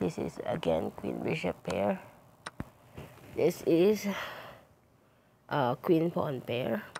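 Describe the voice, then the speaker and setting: At a very slow pace, the speaker pauses often and at length. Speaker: chess streamer. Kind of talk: puzzle commentary.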